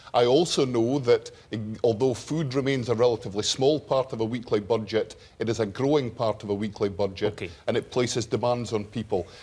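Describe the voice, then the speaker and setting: A man talks at a fairly quick pace in a Scottish accent. His voice is somewhat breathy. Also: medium pitch for a man, ordinary pitch variation. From northeast Scotland. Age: 50s. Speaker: politician. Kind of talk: televised debate. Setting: TV studio with audience.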